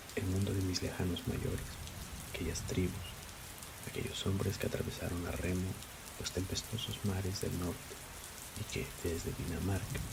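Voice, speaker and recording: A soft-spoken man whispers at a moderate pace with very even loudness and long, frequent pauses. Noticeable background noise can be heard. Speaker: ASMR creator. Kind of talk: essay reading. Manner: whispered.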